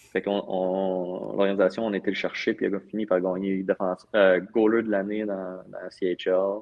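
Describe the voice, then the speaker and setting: A man talks at a very slow pace with hardly any pauses. His very deep, low pitch stays monotone and flat. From Val-d'Or, Quebec. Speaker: professional hockey player. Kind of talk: casual interview.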